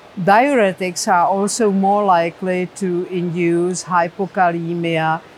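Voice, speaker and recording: A woman with a Czech accent speaks fairly slowly at a fairly low pitch. Her intonation is fairly even, with noticeable background noise. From Czech Republic. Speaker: professor of medicine. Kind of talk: interview.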